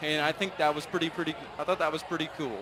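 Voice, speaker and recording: A man with an American accent talks at a very fast pace in a fairly high pitch, with ordinary pitch variation and noticeable background noise. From California. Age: 20s. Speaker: livestock show judge. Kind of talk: speech to show audience.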